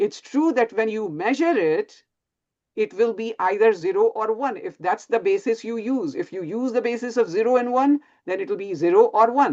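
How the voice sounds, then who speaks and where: Speaking at a moderate pace with an Indian accent, a woman uses a fairly high pitch and very wide pitch swings. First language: Hindi. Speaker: physics professor. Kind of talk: lecture. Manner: halting.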